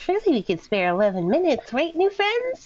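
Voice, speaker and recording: A squeaky, high-pitched, put-on character voice moves at a fairly quick pace. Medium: actual play. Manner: gentle, hesitant.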